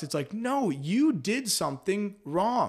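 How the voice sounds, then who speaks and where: A man speaks in an animated tone with lively intonation, captured in a very clean recording with a silent background. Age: 20s. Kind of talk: casual chat. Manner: high energy.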